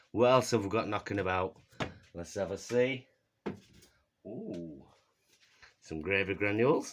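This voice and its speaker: With a Yorkshire accent, the voice moves at a fairly slow pace with long, frequent pauses, big swings in loudness and ordinary pitch variation. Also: man, fairly low pitch for a man. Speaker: comedy cooking vlogger. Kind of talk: comedic cooking demonstration. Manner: casual, jokey.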